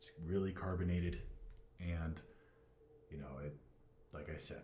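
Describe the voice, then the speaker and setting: A man's very deep, low pitch at a fairly slow pace, with audible room echo and noticeable background noise. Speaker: fitness vlogger. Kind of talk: casual vlog talk. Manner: talking loud on purpose.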